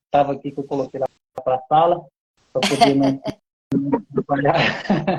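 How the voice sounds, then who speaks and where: A man talks at a moderate pace with ordinary pitch variation. The sound is dry and close with no echo, and music plays in the background. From Goiás, Brazil. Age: 40s. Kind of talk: interview.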